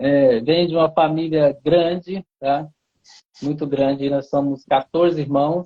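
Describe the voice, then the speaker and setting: The man's voice is fairly high and his intonation fairly even. He speaks at a very slow pace. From Goiás, Brazil. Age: 40s. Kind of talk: interview.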